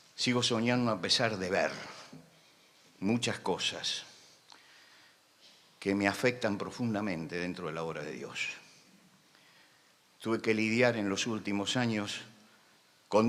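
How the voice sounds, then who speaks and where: A man speaks fairly slowly at a medium pitch with ordinary pitch variation, big swings in loudness, long, frequent pauses, and audible room echo. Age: 70s. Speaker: preacher. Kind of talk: sermon. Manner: impassioned, emphatic.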